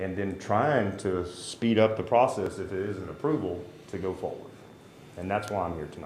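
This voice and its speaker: The man has a fairly low pitch with ordinary pitch variation. He speaks at a moderate pace, and room echo is audible. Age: 50s. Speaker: citizen addressing city council. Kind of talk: public comment at council meeting.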